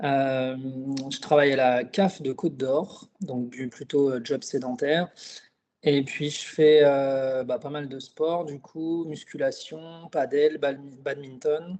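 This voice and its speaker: Speaking at a very slow pace, a man uses a fairly high pitch and fairly even intonation, with big swings in loudness. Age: 30s. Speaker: client giving a testimonial. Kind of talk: interview testimony. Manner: hesitant, many fillers.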